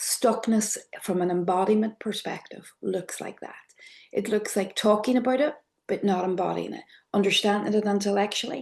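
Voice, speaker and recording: A woman with an Irish accent and vocal fry talks at a moderate pace, with a medium pitch and ordinary pitch variation, over a quiet background. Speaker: trauma therapy trainer, method founder. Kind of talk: online workshop lecture. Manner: soft, clear.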